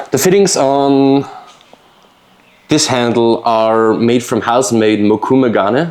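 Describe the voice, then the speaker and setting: Over noticeable background noise, a man with a medium-pitched voice talks very slowly, his pitch varying in an ordinary way. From Austria. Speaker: knife maker. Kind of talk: casual interview chat. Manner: halting, many fillers.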